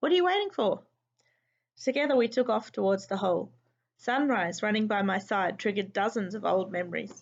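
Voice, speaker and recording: At a fairly quick pace, a woman talks in a normal speaking voice at medium pitch with ordinary pitch variation. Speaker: teacher. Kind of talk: children's book read-aloud.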